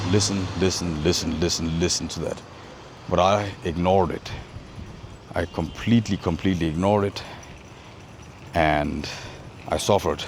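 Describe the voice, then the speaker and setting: With noticeable background noise behind him, a man talks at a moderate pace in a very deep, low pitch, with fairly even intonation and long, frequent pauses. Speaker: inner work coach. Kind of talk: casual talk to camera.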